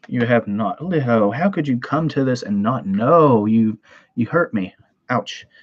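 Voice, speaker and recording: A man talks with a Southern US accent at a fairly slow pace. His intonation is lively. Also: medium pitch for a man. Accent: Southern twang. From US South, Tennessee. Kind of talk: live stream chat. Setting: live stream from home computer. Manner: casual, rambling with fillers.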